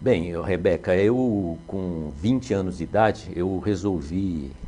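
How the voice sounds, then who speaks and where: A man's very deep, low voice, dark and mellow, with ordinary pitch variation. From São Paulo, Brazil. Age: 60s. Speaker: retired police officer, municipal security official. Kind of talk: interview. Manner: hesitant, with fillers.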